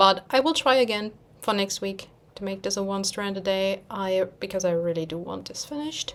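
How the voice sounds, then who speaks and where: With a German accent, a woman speaks at a moderate pace and medium pitch with ordinary pitch variation, amid noticeable background noise. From Germany. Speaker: cross-stitch vlogger. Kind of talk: casual chat. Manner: halting.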